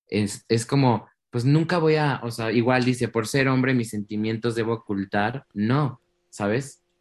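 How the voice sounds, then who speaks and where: A man talks at a fairly slow pace in medium pitch with fairly even intonation and an ordinary speaking voice. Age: 20s. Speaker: singer. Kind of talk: interview.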